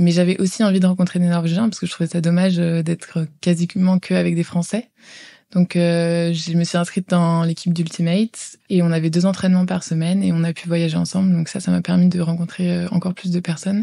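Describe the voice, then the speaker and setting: On a very clean recording with a silent background, a woman talks at a fairly quick pace with a fairly low pitch, a dark, mellow tone and monotone, flat intonation. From France, Val-d'Oise. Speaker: former exchange student. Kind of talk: interview testimony. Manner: hesitant, many filler sounds.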